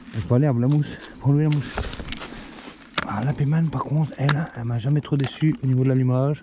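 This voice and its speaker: A man's fairly high voice at a fairly quick pace, with fairly even intonation, long, frequent pauses and noticeable background noise. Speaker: outdoor vlogger. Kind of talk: casual vlog narration. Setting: outdoors in snowy woods.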